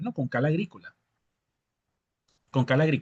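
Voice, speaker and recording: This man's voice sits at a fairly high pitch. The sound is dry and close with no echo. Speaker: agronomy instructor. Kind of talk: lecture with live Q&A. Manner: fast.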